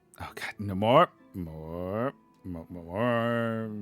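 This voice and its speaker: Very slow speech from a man with a fairly low pitch, music playing in the background. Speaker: streamer reading chat.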